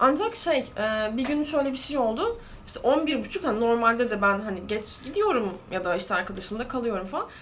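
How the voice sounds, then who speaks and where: Against noticeable background noise and audible room echo, a woman with a high pitch speaks at a fairly quick pace with lively intonation. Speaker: podcast co-host. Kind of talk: casual chat.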